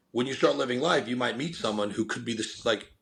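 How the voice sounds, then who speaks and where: Loud and full of energetic enthusiasm, a man speaks in a medium-pitched voice with vocal fry. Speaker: company founder and podcast guest. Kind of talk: podcast interview. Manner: energetic, enthusiastic.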